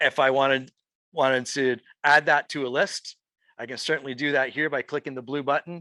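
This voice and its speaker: Fairly high-pitched and bright, sharp in tone, a man talks at a fairly quick pace in a dry, close sound with no echo over a quiet background. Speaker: real estate agent and trainer. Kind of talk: live software training session. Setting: room with live audience, also streamed online. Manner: animated.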